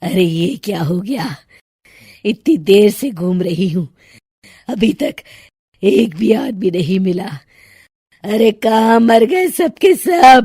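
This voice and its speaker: A cartoonish character voice, raspy and cackling. It moves at a fairly slow pace with long, frequent pauses. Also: woman, medium pitch for a woman. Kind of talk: horror storytelling. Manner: cackling, taunting.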